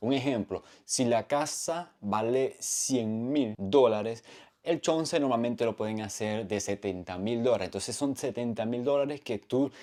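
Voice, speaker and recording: The delivery is fairly slow, with a dark, mellow tone. Pitch moves in an ordinary way. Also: man. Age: 30s. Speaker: vlogger. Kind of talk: casual vlog explanation. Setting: at home.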